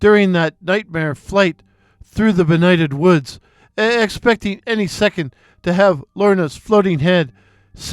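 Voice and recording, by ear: With ordinary pitch variation, the clip is reading aloud in a natural voice.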